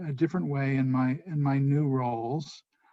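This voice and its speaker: A man with an American accent, dark, mellow tone and moderate pace, against a quiet background. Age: 70s. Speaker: public official, former state legislator. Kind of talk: interview. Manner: halting, many fillers.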